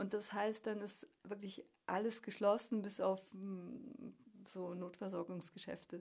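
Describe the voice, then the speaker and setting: A woman speaks very slowly at a medium pitch. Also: fairly even intonation. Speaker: emigrant working as university teacher. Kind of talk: interview.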